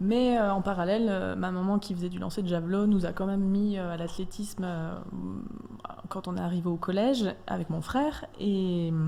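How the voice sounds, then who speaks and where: Amid noticeable background noise and audible room echo, a woman speaks at a moderate pace in a medium pitch with ordinary pitch variation. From eastern France (Franche-Comté). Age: 30s. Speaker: athlete. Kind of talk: radio interview. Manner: hesitant.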